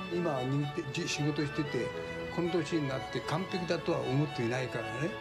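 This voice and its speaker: Loud music plays in the background. The speaker keeps a moderate pace. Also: man. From Japan. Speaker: sushi chef. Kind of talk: documentary interview answer. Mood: calm, reflective. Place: cafe.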